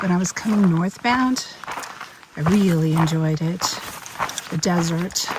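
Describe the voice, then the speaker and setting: Noticeable background noise sits under fairly slow speech with ordinary pitch variation and long, frequent pauses. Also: woman, fairly low pitch for a woman. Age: 60s. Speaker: long-distance hiker vlogger. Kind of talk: casual vlog narration. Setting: outdoors on a hiking trail.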